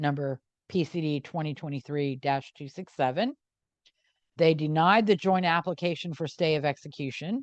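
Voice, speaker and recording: A woman speaks with a very deep, low pitch in a dry, close sound without echo, over a quiet background. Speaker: true crime podcast co-host, legal expert. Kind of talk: podcast discussion, reading court opinions aloud. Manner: fast.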